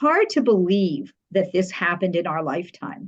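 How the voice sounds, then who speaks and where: A woman with an American accent sounds somewhat breathy, her intonation lively. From New Jersey. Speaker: public relations professional. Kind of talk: podcast interview. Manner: fast; animated.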